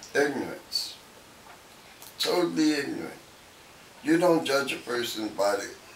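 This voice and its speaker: Noticeable background noise sits under the recording. A man talks with long, frequent pauses. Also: fairly slow pace. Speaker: Vietnam veteran, elder interview guest. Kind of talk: interview answer.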